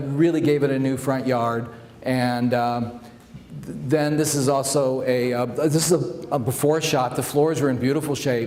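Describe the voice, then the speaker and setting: Over noticeable background noise and audible room echo, a man with a fairly high voice speaks at a moderate pace. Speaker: home stager. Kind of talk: presentation with slideshow. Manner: loud; halting, many fillers.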